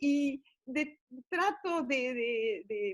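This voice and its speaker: A woman's high-pitched voice with lively intonation and an Argentine accent. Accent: Argentine Spanish (Rioplatense). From Argentina. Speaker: grandmother storyteller. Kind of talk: interview answer. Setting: internet call. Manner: hesitant.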